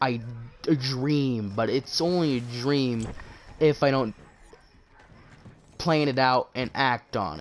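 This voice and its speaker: Quiet, very slow speech from a man at medium pitch, with ordinary pitch variation and long, frequent pauses. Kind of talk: casual chat. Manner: halting.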